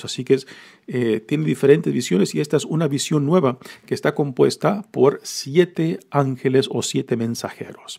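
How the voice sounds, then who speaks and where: Speaking at a moderate pace, a man with a dark, mellow tone and vocal fry uses a fairly high pitch and ordinary pitch variation. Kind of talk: homily-style scripture reflection. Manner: conversational, explanatory, with hesitations and fillers.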